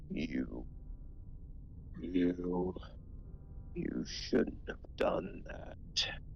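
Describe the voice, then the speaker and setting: A put-on character voice comes through clear background noise. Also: man. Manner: angry.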